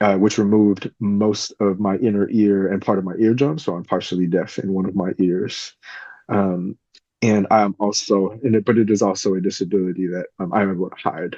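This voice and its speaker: Fairly low-pitched male voice with a Californian accent, fairly even intonation and a fairly quick pace. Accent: Californian American English. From California, Bay Area. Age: 40s. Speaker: podcast host, professor. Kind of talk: solo podcast introduction. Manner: hesitant, many filler ums.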